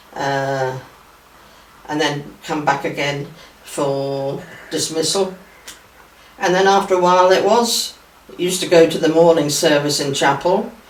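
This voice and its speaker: A woman with a very deep, low pitch and ordinary pitch variation speaks with long, frequent pauses amid noticeable background noise and audible room echo. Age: 80s. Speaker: church member sharing memories. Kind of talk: reminiscence interview.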